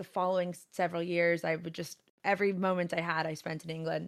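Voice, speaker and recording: A woman with an American accent, fairly low pitch and a fairly quick pace. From Southern California. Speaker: Twitch streamer. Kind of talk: casual interview chat. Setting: video call over Discord.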